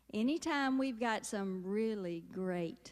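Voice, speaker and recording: A woman with a Southern US accent at a very slow pace. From US South. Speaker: comedian. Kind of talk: stand-up.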